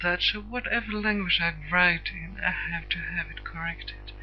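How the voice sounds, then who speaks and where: Music plays in the background. A woman speaks with a Swedish accent. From Sweden. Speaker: internet radio host. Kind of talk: personal introduction monologue. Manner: halting, many hesitations; stiff.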